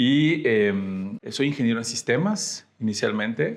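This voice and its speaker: A man with a medium-pitched voice talks at a very slow pace. His intonation is lively. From Mexico, Tamaulipas (Ciudad Mante). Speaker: data scientist. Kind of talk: podcast interview.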